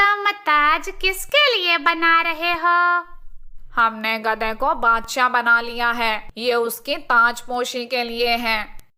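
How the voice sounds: A female-sounding, cartoonish character voice speaks high-pitched at a fairly slow pace.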